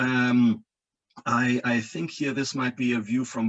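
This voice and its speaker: The speaker is a man. He talks with a German accent. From Germany, coastal region. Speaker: engineering professor. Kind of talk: lecture. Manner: halting, frequent repetitions and fillers.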